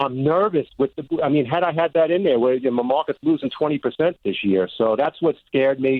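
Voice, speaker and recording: A man with a fairly high voice talks at a fairly quick clip, barely pausing, his loudness very even and his pitch varying in an ordinary way. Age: 60s. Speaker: caller. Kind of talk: call-in question. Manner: halting.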